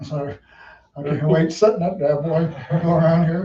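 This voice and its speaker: Fairly even intonation at a moderate pace, with a Southern US accent. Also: man. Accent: US South. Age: 60s. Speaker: race car driver. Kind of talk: interview.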